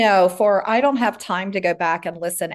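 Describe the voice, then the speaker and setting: The speaker has a normal speaking voice with ordinary pitch variation at a moderate pace. The background is quiet. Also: woman. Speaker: roundtable participant, team manager. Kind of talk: casual discussion. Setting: video call. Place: office. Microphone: video call.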